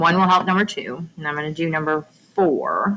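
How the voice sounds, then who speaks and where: Speaking at a moderate pace over noticeable background noise, a woman uses a fairly low pitch and fairly even intonation. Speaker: math teacher. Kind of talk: tutorial.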